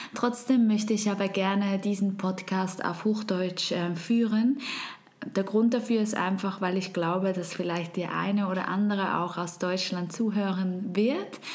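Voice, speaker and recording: A woman at medium pitch and a fairly slow pace, with fairly even intonation, audible room echo and noticeable background noise. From Switzerland. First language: Swiss German (speaking German). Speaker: podcast host. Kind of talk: podcast monologue.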